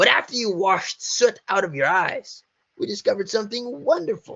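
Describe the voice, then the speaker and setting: This put-on character voice moves at a fairly quick pace. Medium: read story. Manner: casual, joking.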